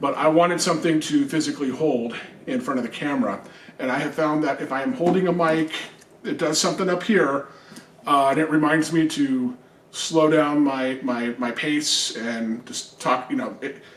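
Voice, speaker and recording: Noticeable background noise behind a man at a fairly high pitch, with ordinary pitch variation and a moderate pace. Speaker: video game channel host. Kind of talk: product unboxing review. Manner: casual, hesitant with fillers.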